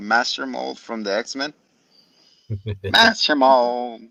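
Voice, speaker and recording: Using a put-on, robotic character voice, a man talks very slowly at a medium pitch. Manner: Pokemon-like voice.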